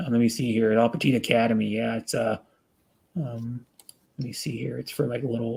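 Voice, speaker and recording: With an American accent, a man at a medium pitch talks at a fairly quick pace with fairly even intonation and long, frequent pauses. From US Pacific Northwest, Renton, Washington. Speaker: live-streamer. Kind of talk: casual chat. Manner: halting, many fillers and restarts.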